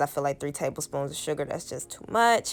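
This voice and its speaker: Music runs in the background as a woman talks. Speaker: lifestyle vlogger. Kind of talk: cooking tutorial. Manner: casual, many fillers.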